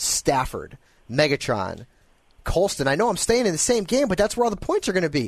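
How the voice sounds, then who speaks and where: A fairly quick pace with a Northeastern US accent against a quiet background. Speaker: sports radio host. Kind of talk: sports talk radio with callers.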